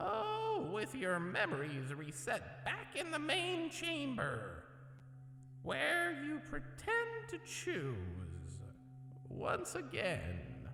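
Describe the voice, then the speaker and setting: Soft-spoken and very slow, a man does a put-on character voice amid clear background noise and a clear echo. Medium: read story. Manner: mockingly polite, savoring, drawn-out.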